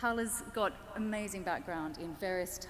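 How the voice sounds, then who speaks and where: A woman with an Australian accent. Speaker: panel moderator. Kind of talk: panel introduction.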